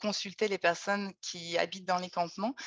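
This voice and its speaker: A plain, everyday voice with fairly even intonation. The sound is dry and close with no echo, over a quiet background. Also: woman. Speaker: researcher. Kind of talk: webinar presentation.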